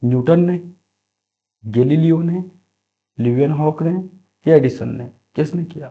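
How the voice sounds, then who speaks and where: The voice is dark and mellow, somewhat breathy, with ordinary pitch variation. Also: man. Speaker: quiz teacher. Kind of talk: tutorial. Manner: repetitive, emphatic teaching style.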